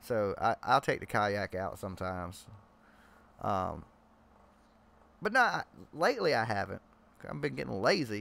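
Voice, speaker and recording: A man with a strong Southern US accent speaks at a moderate pace with long, frequent pauses, on a very clean recording with a silent background. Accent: strong Southern country. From Georgia, US South. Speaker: live stream host. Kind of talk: casual chat. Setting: live stream video chat.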